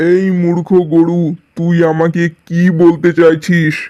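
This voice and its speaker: A man uses a cartoonish character voice at a high pitch. He goes at a fairly slow pace with monotone, flat intonation. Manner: boastful, gruff, scornful.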